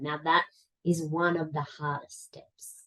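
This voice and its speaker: A woman with an Australian accent, fairly slow, with fairly even intonation. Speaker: life coach. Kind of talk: interview answer.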